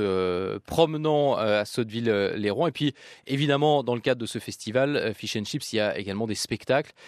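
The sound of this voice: At a fairly quick pace, a man talks with a fairly low pitch and ordinary pitch variation.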